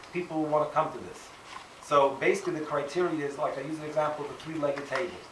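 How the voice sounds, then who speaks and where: Speech rushes by at a very fast pace in a monotone, flat delivery with big swings in loudness. Noticeable background noise and audible room echo fill the recording. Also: man, fairly high pitch for a man. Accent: American. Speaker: rabbi and school principal. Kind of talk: open house presentation to parents. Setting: school open house with audience.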